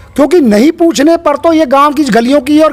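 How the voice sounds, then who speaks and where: Noticeable background noise sits behind a man whose voice is extremely high-pitched, with ordinary pitch variation and a moderate pace. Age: 60s. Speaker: local election candidate. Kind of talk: interview.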